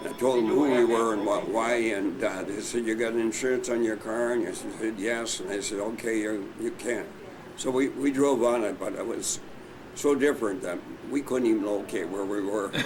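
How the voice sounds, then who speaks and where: At a moderate pace, a man talks with fairly even intonation and a medium pitch. Audible room echo and noticeable background noise surround his voice. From US Midwest, Minnesota. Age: 90s. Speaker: war veteran. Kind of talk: oral history interview. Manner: halting.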